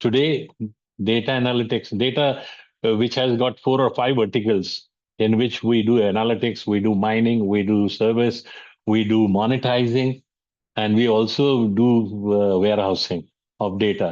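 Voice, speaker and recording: Speaking with an Indian accent at a moderate pace, a man holds a medium pitch, fairly even intonation and very even loudness against a quiet background. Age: 70s. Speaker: business mentor and speaker. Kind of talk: lecture. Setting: online webinar. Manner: halting, many fillers.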